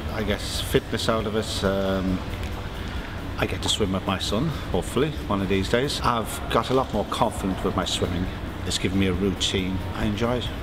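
A man speaks at a moderate pace. Background noise is noticeable throughout. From Ireland. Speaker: surveyor, adult swimming learner. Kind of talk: interview testimony. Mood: modest, pleased. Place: hall.

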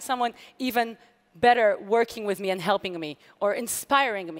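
Over a quiet background, a woman with an Israeli accent speaks at a moderate pace. Her pitch is fairly high and her intonation lively. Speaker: hacker and security researcher. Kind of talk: conference talk. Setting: stage with audience. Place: stage.

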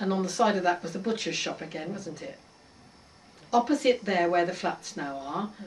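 Noticeable background noise accompanies a woman speaking at a moderate pace in an Oxfordshire accent. Her pitch is medium, with big swings in loudness. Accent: rural Oxfordshire English. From Oxfordshire, southern England. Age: 80s+. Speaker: local elder recalling village history. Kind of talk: oral history interview.

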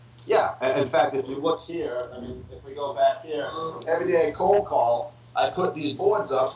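Big swings in loudness, with light background noise and audible room echo. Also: man, ordinary pitch variation, moderate pace. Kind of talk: interview answer. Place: office. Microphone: video call.

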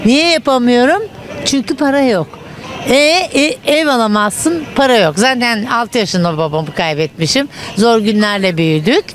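A woman at a fairly slow pace, dry sound with no echo, crowd noise behind her. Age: 60s. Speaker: retiree interviewed in street; interviewee. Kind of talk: street interview. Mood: indignant, complaining about money. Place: street. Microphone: handheld.

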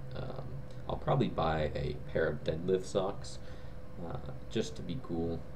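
Over noticeable background noise, a man speaks at a moderate pace in a very deep, low pitch. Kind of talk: casual vlog chat. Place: home room. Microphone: webcam.

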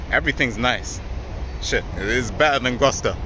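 Noticeable background noise accompanies a man whose sound is dry, with no echo. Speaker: vlogger. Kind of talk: casual vlog chat. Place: waterside. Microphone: phone near.

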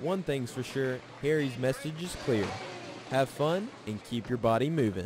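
A man's medium-pitched voice at a moderate pace, with lively intonation and noticeable background noise. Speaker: TV sports reporter. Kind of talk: TV news report narration. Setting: TV news voiceover.

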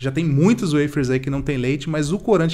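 A man speaks at a fairly quick pace in a fairly high pitch with ordinary pitch variation. The background is quiet. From Brazil. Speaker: vegan youtuber. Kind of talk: casual product review to camera. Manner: fast; animated. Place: studio.

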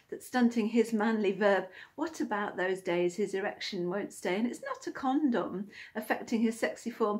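Playful, somewhat breathy woman with a British accent, fairly high-pitched, at a moderate pace against a quiet background. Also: ordinary pitch variation. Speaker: poet and video creator. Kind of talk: spoken word poem, rhyming and cheeky. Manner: playful, tongue-in-cheek, rhythmic. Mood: playful, cheeky. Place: home room. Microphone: phone near.

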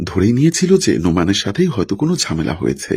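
An unforced reading voice carries the recording.

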